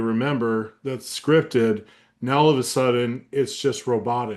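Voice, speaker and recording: Against a quiet background, a man speaks at a medium pitch. His pace is fairly slow and his intonation fairly even. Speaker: sales trainer. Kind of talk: training webinar. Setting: webinar. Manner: monotone; off the cuff, conversational.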